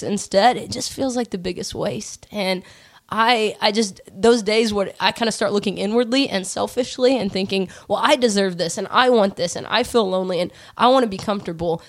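A woman with an unremarkable speaking voice talks at a moderate pace. Her pitch is fairly high, and it varies in an ordinary way. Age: 30s. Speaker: pastor. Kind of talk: casual chat.

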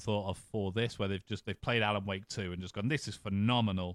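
The voice has an English accent and fairly even intonation. The recording is very clean and dry, close with no echo and a silent background. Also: man. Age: 30s. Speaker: podcast host. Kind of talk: casual chat.

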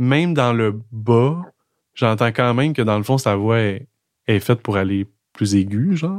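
On a very clean recording with a silent background, a man with a Quebec accent speaks at a medium pitch and fairly slow pace, with lively intonation, very even loudness and long, frequent pauses. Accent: Québécois French. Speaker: podcast host. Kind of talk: casual chat. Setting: in a café. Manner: calm, measured.

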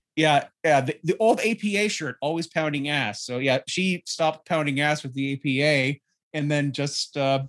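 On a very clean recording with a silent background and a dry, close sound with no echo, a man with an ordinary speaking voice talks at a moderate pace with ordinary pitch variation. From Canada. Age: 30s. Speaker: wrestling podcaster. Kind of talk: casual chat.

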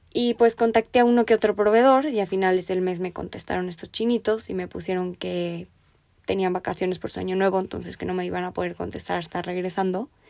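A woman at medium pitch talks at a very fast pace with fairly even intonation. The recording is very clean, with a silent background. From Mexico. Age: 20s. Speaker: podcast host and finance student. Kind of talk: solo podcast monologue.

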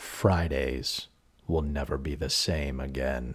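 In a put-on character voice, the speaker moves at a fairly slow pace with fairly even intonation. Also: man, very deep, low pitch for a man. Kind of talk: dramatic, announcer-like.

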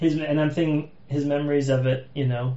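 With audible room echo, a man with an American accent speaks at a moderate pace in a fairly high, somewhat breathy voice with monotone, flat intonation. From Massachusetts, US. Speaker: podcast host. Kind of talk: casual chat.

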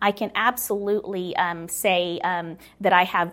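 Amid noticeable background noise, a woman speaks fairly slowly at a medium pitch with fairly even intonation. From United States, moved from Philippines at four. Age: 40s. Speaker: nonprofit worker and writer. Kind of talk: casual interview. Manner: halting, many fillers.

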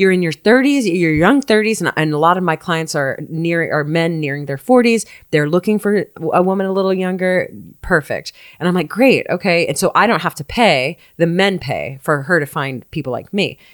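A woman at a moderate pace with lively intonation, on a very clean recording with a silent background. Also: dry, close sound with no echo. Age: 30s. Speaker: dating expert. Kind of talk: casual chat.

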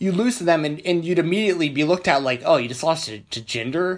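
A high-pitched man in an animated tone at a fairly quick pace, over a quiet background. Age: 20s. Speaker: wrestling podcast host. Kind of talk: solo podcast rant.

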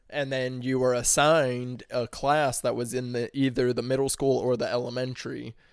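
Delivered with hardly any pauses at a moderate pace, the speech has monotone, flat intonation and an American accent, on a very clean recording with a silent background. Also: man, medium pitch for a man. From US Midwest, St. Louis area, Missouri. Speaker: podcast guest. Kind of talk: casual chat.

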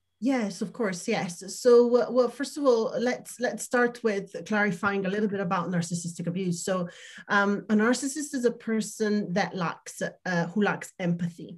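A somewhat breathy woman's voice with an Italian accent, medium in pitch, at a moderate pace with ordinary pitch variation. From Italy. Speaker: emotional wellness coach. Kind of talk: interview testimony.

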